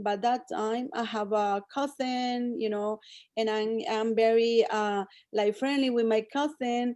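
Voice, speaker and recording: A woman's fairly high voice in a Spanish accent, at a fairly slow pace, on a very clean recording with a silent background. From El Salvador. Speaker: cosmetics sales director. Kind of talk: interview. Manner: halting.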